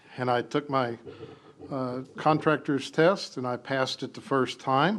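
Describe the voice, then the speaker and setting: A man with an American accent has an ordinary speaking voice and a fairly high pitch. He speaks at a fairly slow pace with ordinary pitch variation. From St. Cloud, Florida. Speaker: city council candidate, building contractor, veteran. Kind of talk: candidate forum opening statement. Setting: city hall chambers with audience.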